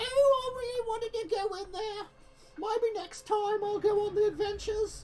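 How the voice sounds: A put-on character voice, squeaky and at an extremely high pitch, talks at a moderate pace.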